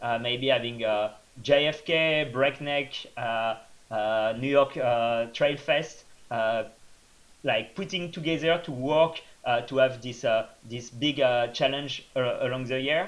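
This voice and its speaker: A man with a French accent, medium pitch, a fairly slow pace and ordinary pitch variation. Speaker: trail runner. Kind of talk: interview. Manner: hesitant, many fillers.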